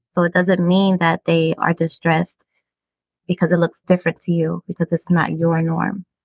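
A woman with an American accent at a moderate pace, fairly low in pitch and monotone, flat in intonation. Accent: Brooklyn New York, watered down. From Brooklyn, New York. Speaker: podcast host discussing mental health. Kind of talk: educational casual conversation.

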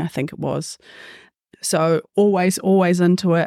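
The voice has a dark, mellow tone and fairly even intonation, delivered at a moderate pace in a New Zealand accent. The sound is dry and close with no echo, on a very clean recording with a silent background. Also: woman. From New Zealand, Waikato and Gisborne. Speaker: PE teacher and football coach. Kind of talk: casual panel discussion.

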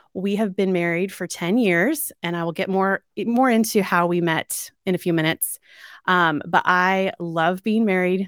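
A woman speaks in an ordinary speaking voice at medium pitch. The recording is very clean with a silent background and a dry, close sound with no echo. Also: moderate pace. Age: 40s. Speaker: dating coach and podcast host. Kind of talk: solo personal storytelling monologue. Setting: at home.

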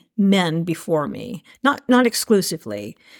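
This woman talks with an American accent at a fairly slow pace and a medium pitch, in a normal speaking voice. The recording is very clean, with a silent background. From Asheville, North Carolina. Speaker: event director. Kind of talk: interview conversation.

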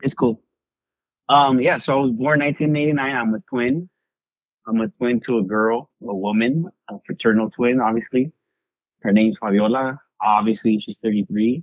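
At a moderate pace, a man with an American accent speaks at a medium pitch with ordinary pitch variation. His delivery has long, frequent pauses. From Long Beach, California. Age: 30s. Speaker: podcast host. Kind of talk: casual chat.

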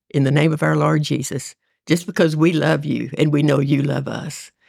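This woman's voice sits very deep and low. Vocal fry runs through it. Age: 80s. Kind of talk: casual faith conversation and prayer.

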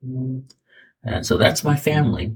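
A man speaks in a somewhat breathy voice. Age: 70s. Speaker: retired school principal. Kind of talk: interview storytelling. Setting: studio. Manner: halting.

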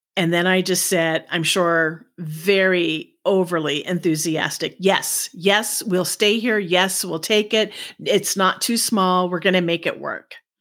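A woman speaks at a fairly slow pace with fairly even intonation, in a plain, everyday voice. The recording is very clean, with a silent background. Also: medium pitch for a woman, hardly any pauses. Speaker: podcast host. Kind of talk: heartfelt personal storytelling monologue, recounting her adoption journey. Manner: reflective and emotional, slowly describing fear and bitterness melting away; warm and gently laughing between sentences.

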